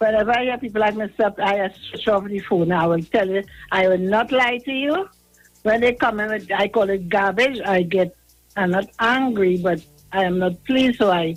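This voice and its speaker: Over music in the background, a woman speaks at a moderate pace, fairly high in pitch with ordinary pitch variation. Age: 70s. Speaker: caller. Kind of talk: call-in radio chat.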